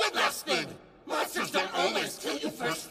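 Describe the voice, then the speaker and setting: A man shouting in a put-on character voice at a moderate pace, over loud background noise with slight echo. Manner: menacing, gloating.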